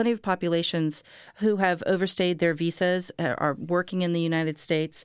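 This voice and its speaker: At a fairly quick pace and with fairly even intonation, an ordinary speaking voice comes through a very clean, dry, close recording with a silent background and no echo. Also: woman. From Miami, Florida. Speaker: anthropology professor and immigration advocate. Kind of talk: interview.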